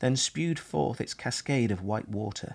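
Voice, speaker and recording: A normal speaking voice from a man with lively intonation, on a very clean recording with a silent background. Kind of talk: archive narration read aloud, 1940s wartime broadcast.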